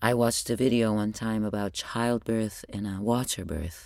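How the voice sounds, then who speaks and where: Very deep and low, a woman's voice carries a dark, mellow tone and an Arabic accent, with fairly even intonation at a fairly slow pace. The recording is very clean, with a silent background. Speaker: podcast host. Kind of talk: personal spoken journal monologue.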